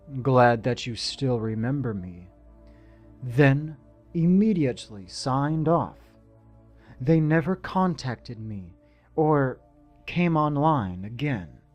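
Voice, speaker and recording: Against music in the background, a medium-pitched man speaks very slowly with lively intonation and long, frequent pauses. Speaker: narrator of horror stories. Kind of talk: horror story narration (creepypasta reading).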